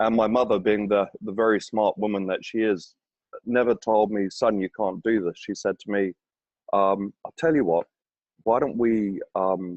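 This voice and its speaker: This man talks in an English accent at a fairly low pitch. His pace is moderate and his intonation fairly even. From England, rural village. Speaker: property developer. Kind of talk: interview. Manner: halting, many fillers.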